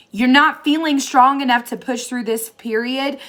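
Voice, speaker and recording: In an American accent, a woman speaks at a moderate pace with a high pitch. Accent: Southern US accent, comes out at times. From Tennessee. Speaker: tarot reader. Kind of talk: tarot reading monologue. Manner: casual, chatty.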